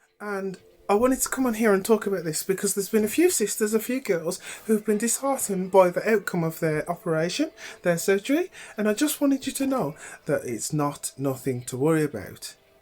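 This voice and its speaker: Her speech moves at a fairly quick pace. The woman's medium pitch swings very widely. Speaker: vlogger sharing personal experience. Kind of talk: personal vlog.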